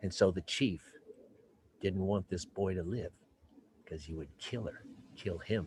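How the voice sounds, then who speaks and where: A man with a very deep, low voice speaks fairly slowly and somewhat breathily, with ordinary pitch variation and long, frequent pauses. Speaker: professional storyteller. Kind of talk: live storytelling performance over Zoom.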